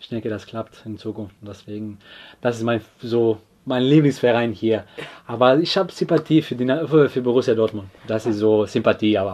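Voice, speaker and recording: This man speaks with a Croatian accent and ordinary pitch variation. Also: medium pitch for a man, moderate pace, big swings in loudness. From Croatia, Split. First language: Croatian (speaking German). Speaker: footballer. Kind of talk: casual interview. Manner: halting.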